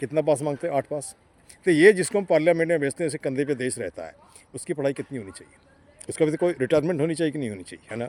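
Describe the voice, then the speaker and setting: A man with an unremarkable speaking voice, fairly high in pitch with ordinary pitch variation, in dry, close sound with no echo. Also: big swings in loudness. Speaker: interviewer. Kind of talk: street interview questions.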